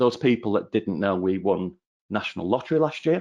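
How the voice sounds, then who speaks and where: With a northern English accent, a man speaks at a fairly quick pace against a quiet background. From northern England. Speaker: channel account manager. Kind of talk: webinar presentation.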